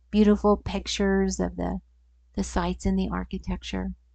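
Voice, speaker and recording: A woman's moderate-paced speech comes over a quiet background. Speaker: church member giving a devotional. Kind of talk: testimony.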